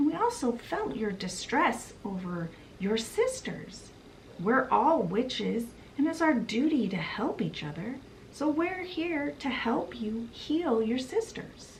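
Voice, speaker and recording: Over clear background noise, a woman uses a high-pitched, put-on character voice at a fairly slow pace. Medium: solo performance.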